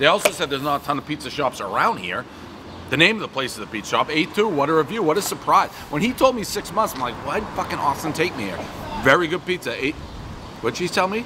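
Against noticeable background noise, a man talks very fast with lively intonation. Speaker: food reviewer. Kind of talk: casual review commentary. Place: street.

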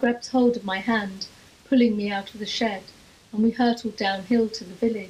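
The clip is a natural reading voice with fairly even intonation.

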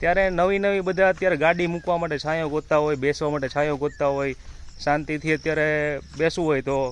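A man's normal speaking voice, fairly high in pitch, with fairly even intonation. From Gujarat, India (Amreli district, Saurashtra). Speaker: farmer and video creator. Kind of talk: casual informational vlog.

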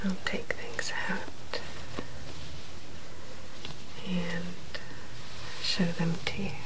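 Someone soft-spoken talks over loud background noise. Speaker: unboxing host. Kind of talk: casual unboxing show-and-tell. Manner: soft-spoken, quiet and gentle.

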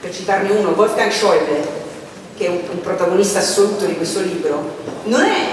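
Speech moves at a fairly quick pace. Strong room echo and noticeable background noise are present. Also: woman. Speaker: moderator presenting a book. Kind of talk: panel introduction. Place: stage.

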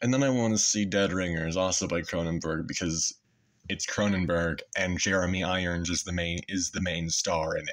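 A man's very deep, low voice with fairly even intonation against a quiet background. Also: moderate pace. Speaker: YouTuber; vlogger. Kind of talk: casual monologue. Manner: halting with many fillers. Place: home room. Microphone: phone near.

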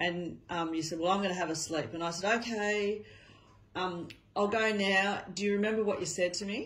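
A woman with an Australian accent, at a moderate pace and with fairly even intonation. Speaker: family carer filming. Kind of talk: casual talk, interviewing family member. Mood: gentle, warm, reminiscing.

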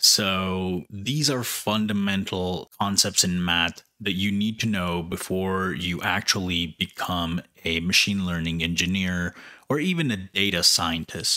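Bright, sharp male tones at a very deep, low pitch, fairly slow and fairly even in intonation, against a quiet background. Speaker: YouTube educator on machine learning. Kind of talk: opinionated rant to camera about why math matters. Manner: emphatic, insistent; conversational, repeatedly addressing viewers. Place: home room. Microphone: studio mic.

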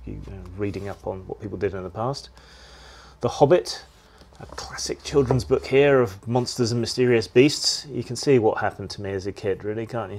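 With ordinary pitch variation, this man's speech unfolds at a moderate pace. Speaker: channel host. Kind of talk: casual vlog chat. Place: home room. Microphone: phone near.

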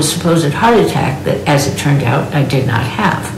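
Audible room echo and light background noise surround a woman as she speaks. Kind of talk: prepared speech introducing a keynote. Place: home room.

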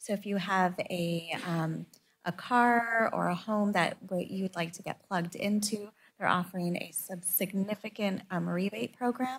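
A woman speaks fairly slowly in a somewhat breathy voice with ordinary pitch variation. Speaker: city council member. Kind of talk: council meeting discussion. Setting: council chamber meeting. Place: meeting room. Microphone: podium.

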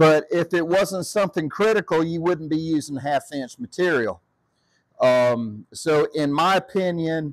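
A man talks at a fairly slow pace. Behind him, the background is quiet. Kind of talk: tutorial. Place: workshop. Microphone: phone near.

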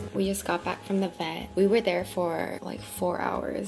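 A woman talking at a moderate pace, with clear music playing in the background. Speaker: vlogger. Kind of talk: casual vlog chat.

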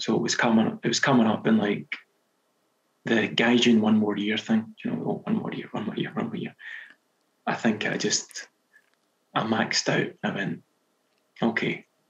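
A Scottish accent at a moderate pace, broken by long, frequent pauses. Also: man. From Scotland. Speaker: novelist. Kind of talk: podcast interview answer. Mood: relaxed, reflective. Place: home room. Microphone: headset.

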